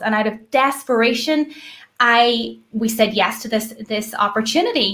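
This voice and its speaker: In an Irish accent, a woman speaks at a fairly high pitch. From Ireland. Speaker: network marketer, former teacher. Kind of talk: live video call hosting.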